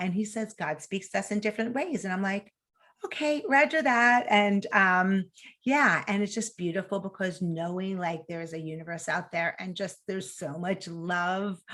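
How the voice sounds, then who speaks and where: In a New York accent, a woman speaks at a moderate pace and medium pitch, her bright, sharp, animated tone carried by lively intonation. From New York City. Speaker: mental health nonprofit founder. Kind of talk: interview.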